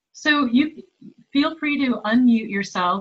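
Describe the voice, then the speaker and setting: A woman talks at a fairly slow pace. She has an ordinary speaking voice. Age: 50s. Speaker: workshop facilitator. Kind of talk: online writing workshop. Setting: video call.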